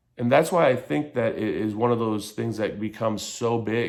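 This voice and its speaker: An American accent with audible room echo. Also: man. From Michigan. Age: 30s. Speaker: vlogger on addiction and mental health. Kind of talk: personal commentary vlog. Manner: halting.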